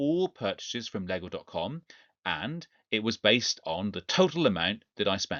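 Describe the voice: A man at a medium pitch, with a fairly bright tone, big pitch swings, a moderate pace and a dry, close sound with no echo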